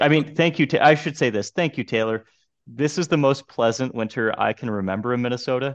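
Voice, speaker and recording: A man talks in a normal speaking voice at a medium pitch. His intonation is lively. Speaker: golf podcast co-host. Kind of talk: casual chat.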